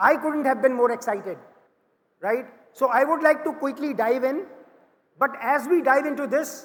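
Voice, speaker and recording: Loud speech at a moderate pace, ordinary pitch variation, and long, frequent pauses. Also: man, extremely high pitch for a man. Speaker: panel moderator, management consultant. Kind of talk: panel discussion moderation. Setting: conference stage with audience.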